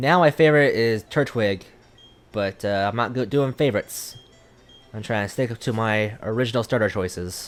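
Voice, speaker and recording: A man mumbles at a moderate pace with ordinary pitch variation. Music plays in the background. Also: medium pitch for a man. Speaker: gaming YouTuber. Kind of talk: let's play commentary. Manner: mumbling.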